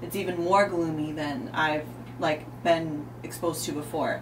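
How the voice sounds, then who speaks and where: A woman with an American accent over noticeable background noise. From US Midwest. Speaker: fitness competitor; radio guest. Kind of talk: casual interview chat. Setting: studio. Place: studio. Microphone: studio mic.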